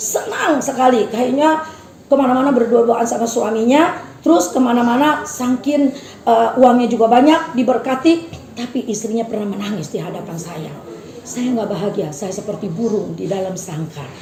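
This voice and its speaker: Amid noticeable background noise and audible room echo, a woman speaks at a fairly high pitch with lively intonation and big swings in loudness. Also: moderate pace. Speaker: preacher. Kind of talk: sermon.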